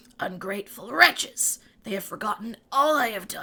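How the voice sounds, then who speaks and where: A woman's raspy put-on character voice, fairly high-pitched, with lively intonation at a moderate pace. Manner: hatred-filled.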